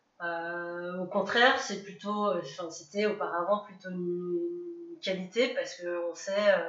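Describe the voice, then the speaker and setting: With noticeable background noise and audible room echo, a woman speaks very slowly at a medium pitch, her pitch varying in an ordinary way and her loudness swinging widely. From France, near Grenoble. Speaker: adoptee sharing her story. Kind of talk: interview testimony.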